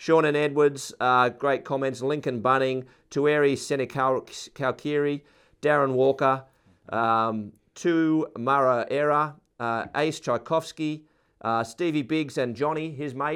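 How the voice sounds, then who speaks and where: A man with an Australian accent and a fairly high pitch speaks with fairly even intonation on a very clean recording with a silent background. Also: fairly slow pace. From Sydney, Australia. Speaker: rugby podcast co-host. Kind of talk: casual sports chat.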